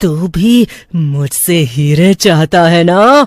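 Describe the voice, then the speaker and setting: A cartoonish character voice shouts at a middle pitch. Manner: mocking, menacing, cackling.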